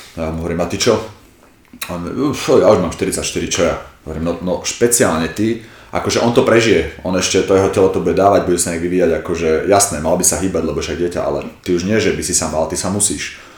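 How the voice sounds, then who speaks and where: With audible room echo and noticeable background noise, a man talks very fast in a very deep, low voice. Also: ordinary pitch variation. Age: 40s. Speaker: martial arts coach. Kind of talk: casual chat.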